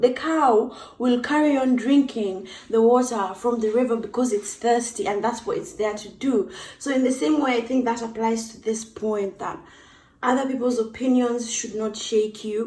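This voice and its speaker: A woman with an East African accent, fairly high-pitched, at a moderate pace, with ordinary pitch variation and big jumps in loudness. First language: Swahili. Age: 20s. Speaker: YouTuber. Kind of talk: casual vlog talk.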